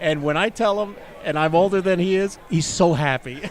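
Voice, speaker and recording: A man's voice with crowd noise in the background. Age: 60s. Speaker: axe throwing commentator. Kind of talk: live commentary. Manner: halting.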